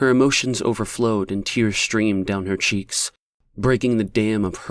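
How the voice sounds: Quiet surroundings and a natural reading voice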